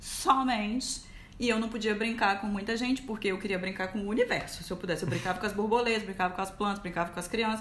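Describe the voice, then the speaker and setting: Over noticeable background noise and audible room echo, the speaker talks at a fairly quick pace. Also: woman. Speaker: communications professional. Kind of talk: casual chat. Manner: talkative, lots of laughter.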